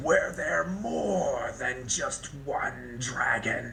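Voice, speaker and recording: Using a put-on character voice, a man talks very slowly in a raspy tone over clear background noise. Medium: actual play. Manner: demanding, interrogating.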